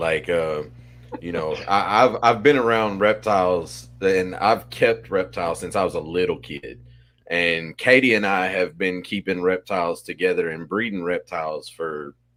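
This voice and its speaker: In an Arkansas accent, a man with a very deep, low pitch speaks at a fairly slow pace on a very clean recording with a silent background. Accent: Arkansas drawl. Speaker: podcast co-host, reptile breeder. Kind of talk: podcast conversation.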